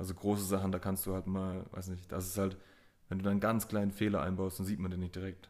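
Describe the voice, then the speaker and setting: A man speaks at a very fast pace. His very deep, low voice stays monotone and flat. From Swabia, Germany (Mössingen). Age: 20s. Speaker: tattoo artist. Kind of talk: casual chat. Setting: tattoo studio.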